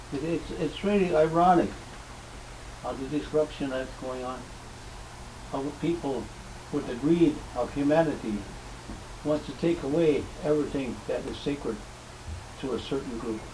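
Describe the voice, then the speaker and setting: This man's voice sits fairly high, with ordinary pitch variation, at a moderate pace. Long, frequent pauses break it up, over noticeable background noise and audible room echo. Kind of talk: public address.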